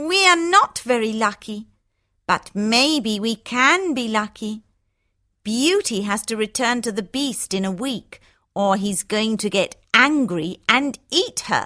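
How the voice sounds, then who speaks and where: A woman puts on a character voice, fairly high in pitch, with lively intonation and a fairly slow pace. The recording is very clean, with a silent background. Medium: read story.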